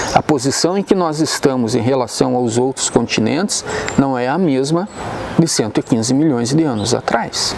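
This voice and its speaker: With lively intonation, a man speaks at a moderate pace amid noticeable background noise. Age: 60s. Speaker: geologist. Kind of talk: expert explanation.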